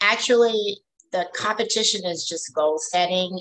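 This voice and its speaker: A woman with an unremarkable speaking voice talks at a fairly slow pace. Her pitch is fairly low, with ordinary pitch variation. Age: 60s. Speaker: fitness trainer and bodybuilder. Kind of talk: casual chat.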